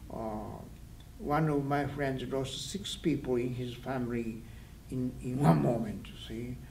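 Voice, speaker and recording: Man's medium-pitched, somewhat breathy voice at a fairly slow pace, ordinary pitch variation, audible room echo. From Japan, Hiroshima. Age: 80s+. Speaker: atomic bomb survivor. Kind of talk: interview testimony. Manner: halting.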